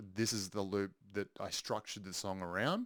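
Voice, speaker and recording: The speech moves at a fairly slow pace with fairly even intonation. The background is quiet. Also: man, dry sound with no echo. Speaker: music producer. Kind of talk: tutorial. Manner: halting, many filler ums. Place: studio.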